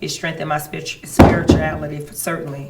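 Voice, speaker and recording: In a Louisiana accent, a woman speaks with a very deep, low pitch and monotone, flat intonation, with audible room echo and noticeable background noise. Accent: Louisiana Southern US. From Louisiana, St. Landry Parish. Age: 40s. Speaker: judge. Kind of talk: interview. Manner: halting.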